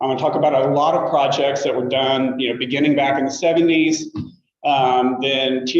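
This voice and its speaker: Fairly high in pitch, a man talks at a fairly quick pace. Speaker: state archaeologist giving a talk. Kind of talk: lecture. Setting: lecture room with audience, also on video call. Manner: loud.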